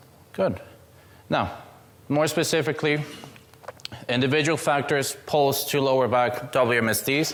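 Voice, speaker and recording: With noticeable background noise behind him, a man with a non-native accent talks at a fairly slow pace, medium in pitch and fairly even in intonation. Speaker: student presenter. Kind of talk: seminar presentation. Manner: casual, joking.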